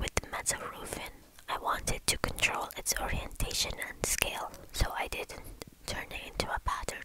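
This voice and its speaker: Whispering at a moderate pace over noticeable background noise. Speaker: architecture tutor. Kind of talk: ASMR whispered software tutorial. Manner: whispered.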